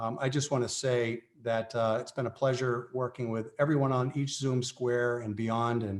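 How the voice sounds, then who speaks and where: With an unremarkable speaking voice, a man talks at a medium pitch and a moderate pace. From Massachusetts, Brockton. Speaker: chamber of commerce chair. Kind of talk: formal meeting remarks. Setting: video call.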